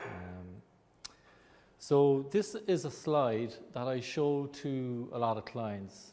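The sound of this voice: Speaking with an Irish accent, a man uses ordinary pitch variation and a slightly mellow tone.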